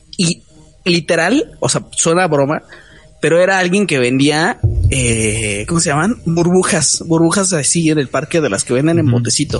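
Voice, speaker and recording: A man's fairly high voice with lively intonation, very even loudness and a moderate pace, music in the background. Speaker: podcast host. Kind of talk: casual chat.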